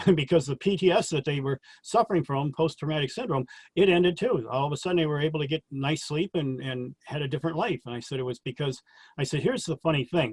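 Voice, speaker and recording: Very fast and somewhat breathy, a man talks at a fairly high pitch with ordinary pitch variation. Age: 60s. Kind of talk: interview about personal experiences.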